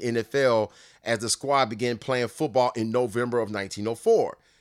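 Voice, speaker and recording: A man with a Southern US accent talks at a fairly slow pace and medium pitch, in a very clean recording with a silent background. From Nashville, Tennessee. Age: 40s. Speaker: sports podcast host. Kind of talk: casual monologue.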